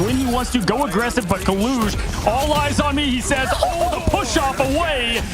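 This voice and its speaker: Fairly quick, animated delivery with very wide pitch swings, music in the background, and audible room echo. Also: man. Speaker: esports play-by-play commentator. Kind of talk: live commentary. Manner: fast, animated.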